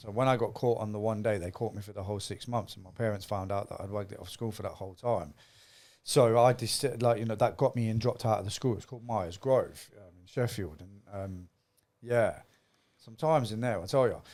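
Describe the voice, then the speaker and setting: Speaking with an East Midlands accent at a fairly quick pace, the voice swings widely in loudness in a very clean recording with a silent background. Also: man, medium pitch for a man, ordinary pitch variation. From Nottingham, England. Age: 40s. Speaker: former gang member. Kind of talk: interview storytelling. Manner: casual.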